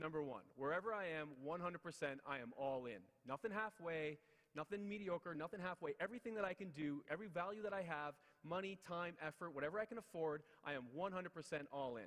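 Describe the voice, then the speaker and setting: Talking at a very fast pace, a man sounds animated, his pitch high. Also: ordinary pitch variation. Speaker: motivational speaker. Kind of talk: motivational speech.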